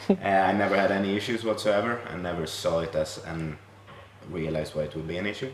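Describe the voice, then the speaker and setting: With a southern Swedish accent, a man with a fairly low pitch and ordinary pitch variation talks at a very fast pace amid noticeable background noise and audible room echo. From southern Sweden. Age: 20s. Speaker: podcast guest. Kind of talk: casual interview chat.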